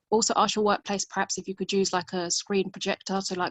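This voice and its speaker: A woman talks fairly quickly at a medium pitch. Her intonation stays monotone and flat. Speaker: support group member who works in a school. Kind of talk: casual group discussion. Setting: video call. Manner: fast.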